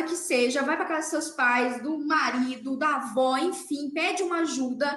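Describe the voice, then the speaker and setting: This woman has a high pitch and a bright, sharp tone. Her intonation is lively, and room echo is audible. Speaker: dentist and podcast host. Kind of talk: motivational talk. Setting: livestream. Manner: animated.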